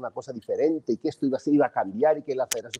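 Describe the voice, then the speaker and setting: Against a quiet background, a man speaks with a Mexican accent. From Mexico. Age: 60s. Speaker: football pundit. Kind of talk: heated sports debate. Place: home room. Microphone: earbuds.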